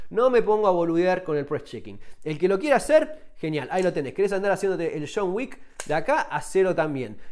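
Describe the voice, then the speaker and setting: In a Rioplatense accent, a man talks at a fairly quick pace in a high pitch with very wide pitch swings over a quiet background. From Argentina. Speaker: survival and firearms YouTuber, author. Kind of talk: tutorial. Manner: casual, conversational. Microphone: phone near.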